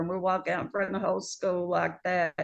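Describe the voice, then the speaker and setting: Against a quiet background, a woman talks at a medium pitch with vocal fry. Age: 60s. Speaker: nurse. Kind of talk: testimony.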